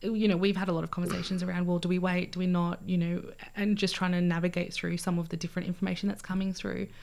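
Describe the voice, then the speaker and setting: A woman's fairly low, monotone voice with flat intonation, in an Australian accent, at a very fast pace. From Australia (Albury, then Canberra), born in Fiji. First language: Fijian language (learned English as a child). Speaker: community organisation manager. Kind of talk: interview.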